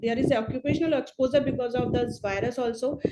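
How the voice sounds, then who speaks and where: Speaking fast-ish in a high pitch, a woman keeps her intonation fairly even. Noticeable background noise is present. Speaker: public health expert. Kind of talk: webinar presentation. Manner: halting, many fillers; hurried.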